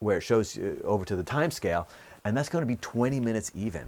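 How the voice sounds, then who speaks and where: A man's fairly low voice with lively intonation, on a very clean recording with a silent background. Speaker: earth science teacher. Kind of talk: tutorial. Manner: hesitant with fillers.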